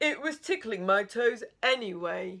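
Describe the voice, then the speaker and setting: Fairly slow, fairly high-pitched put-on character voice from a woman. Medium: read story.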